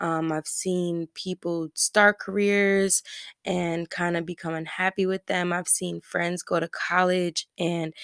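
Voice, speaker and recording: In a normal speaking voice, a woman talks at a fairly slow pace and medium pitch with fairly even intonation, on a very clean, dry, close recording with no echo and a silent background. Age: 20s. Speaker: podcast host. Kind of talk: casual solo monologue. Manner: frequent fillers (um, you know).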